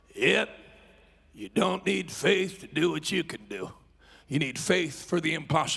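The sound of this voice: Using a put-on character voice, a man talks in a raspy, fairly high pitch at a moderate pace, with lively intonation and long, frequent pauses.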